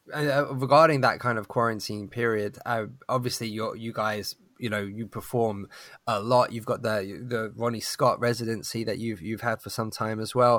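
The man has an unremarkable speaking voice with fairly even intonation. The recording is very clean, with a silent background. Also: medium pitch for a man, moderate pace. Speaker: podcast host. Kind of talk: interview, conversational.

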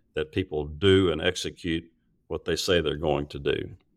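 Against a silent background in a very clean recording, a man speaks with a very deep, low pitch and fairly even intonation. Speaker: retired chemical industry executive. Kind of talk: interview. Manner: halting.

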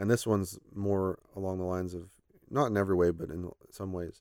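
A man with an American accent talks at a fairly quick pace in a very deep, low pitch, his intonation fairly even, on a very clean recording with a silent background. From Oklahoma and Texas, US. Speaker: church Bible teacher. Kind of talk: casual interview conversation. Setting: studio.

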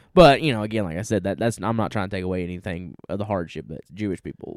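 Speaking at a very fast pace with a Southern US accent, a man uses a fairly low pitch and lively intonation. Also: very clean recording, silent background. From US South. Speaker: podcast co-host. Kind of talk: casual chat.

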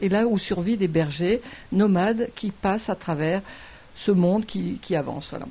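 At a moderate pace and medium pitch, a woman sounds somewhat breathy, with ordinary pitch variation. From southern France (Mediterranean). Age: 60s. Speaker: veterinarian, wildlife centre founder. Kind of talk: interview.

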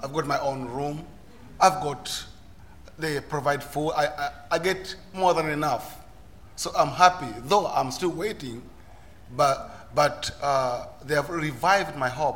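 With a Ugandan accent and a fairly high pitch, a man talks at a fairly slow pace with long, frequent pauses and ordinary pitch variation, while noticeable background noise sits behind him. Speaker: asylum seeker and volunteer speaker. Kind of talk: personal testimony on panel. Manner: halting, repeats words.

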